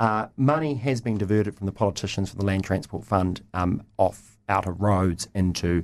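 With a New Zealand accent, a man speaks at a fairly quick pace in a fairly low voice with ordinary pitch variation. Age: 30s. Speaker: lobby group chief executive. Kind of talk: radio panel debate. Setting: radio studio.

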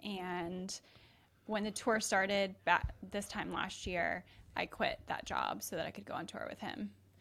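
A bright, sharp voice with vocal fry, at a fairly slow pace and with fairly even intonation. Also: woman. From Atlanta, Georgia. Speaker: biomedical engineer, comedian's wife. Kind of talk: casual chat.

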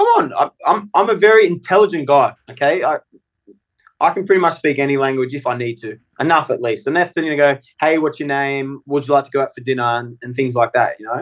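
Someone talks at a very fast pace with an Australian accent and ordinary pitch variation, in a dry, close sound with no echo. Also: man, fairly high pitch for a man. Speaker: professional wrestler and former teacher. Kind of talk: interview.

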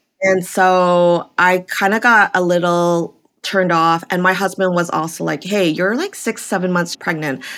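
Music plays in the background as a woman speaks at a moderate pace with hardly any pauses. Her medium pitch carries fairly even intonation. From Vancouver, western Canada. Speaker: stand-up comedian. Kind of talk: casual chat.

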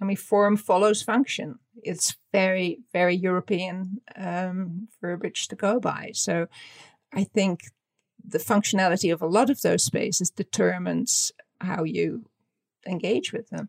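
Recorded dry and close with no echo, a woman with a Dutch accent talks fairly slowly at medium pitch, with vocal fry and ordinary pitch variation. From Netherlands. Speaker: fashion designer and author. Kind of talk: interview.

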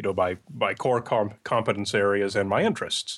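A man speaks at a fairly quick pace and a medium pitch, on a very clean recording with a silent background. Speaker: podcast producer and myth-buster. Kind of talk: interview conversation.

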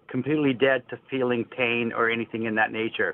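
An ordinary speaking voice from a man, medium in pitch, with fairly even intonation. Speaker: caller, former semi-pro athlete. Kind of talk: call-in question. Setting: phone call.

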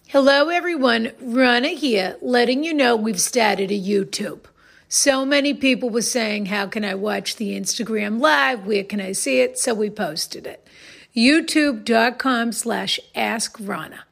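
In a Boston accent, a woman with a fairly high voice speaks fairly slowly. Her intonation is lively. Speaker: advice podcast co-host. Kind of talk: casual chat. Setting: recording studio.

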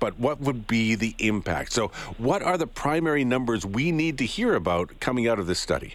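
With a Canadian accent, a man at a medium pitch speaks at a moderate pace, his pitch swinging very widely. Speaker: morning radio host. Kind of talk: radio interview. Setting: studio. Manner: casual, uses fillers.

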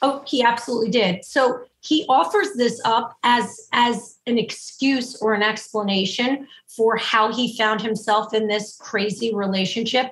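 A woman with an unremarkable speaking voice talks at a fairly slow pace, with hardly any pauses. Her pitch is fairly high and her intonation fairly even. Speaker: relationship therapist. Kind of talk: interview. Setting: video call.

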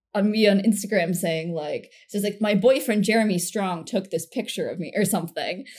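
With ordinary pitch variation, a woman's fairly high voice comes across as somewhat breathy. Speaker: comedian. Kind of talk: casual chat.

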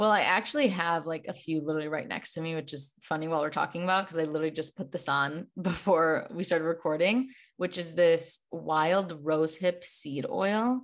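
A plain, everyday voice with an American accent moves at a fairly quick pace. There are hardly any pauses. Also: woman, fairly low pitch for a woman, ordinary pitch variation, quiet background. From Chicago. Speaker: holistic nutritionist and wellness creator. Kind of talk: casual chat.

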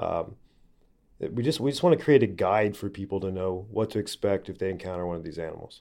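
Here a man speaks with an American accent in a fairly low, dark, mellow voice. He goes at a very fast pace over a quiet background. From Oklahoma. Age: 30s. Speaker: TV presenter and animal handler. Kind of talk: interview.

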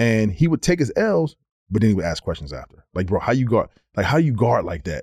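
Medium pitch from a man, somewhat breathy, with very wide pitch swings, a fairly quick pace and a dry, close sound with no echo. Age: 40s. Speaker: former NBA player. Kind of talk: casual chat.

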